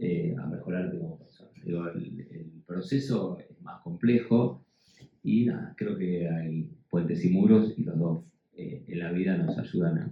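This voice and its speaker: A man speaks in an Argentine accent with a very deep, low pitch. His intonation is lively and his pace fairly slow. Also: big swings in loudness. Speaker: educator, panel speaker. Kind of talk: panel discussion. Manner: halting, many fillers and repetitions.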